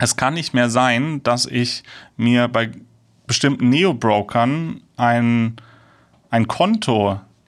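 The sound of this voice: On a very clean recording with a silent background, a man speaks slowly at a medium pitch with ordinary pitch variation.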